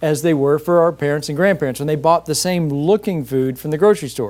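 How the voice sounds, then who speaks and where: A man talks at a very fast pace in a fairly high voice. His pitch rises and falls an ordinary amount. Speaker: medical doctor. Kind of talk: interview answer.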